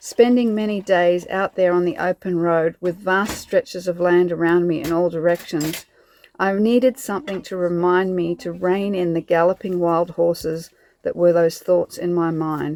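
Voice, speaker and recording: A woman with an Australian accent talks at a moderate pace, her fairly low pitch held in fairly even intonation. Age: 50s. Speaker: van-life vlogger. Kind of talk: reflective vlog narration.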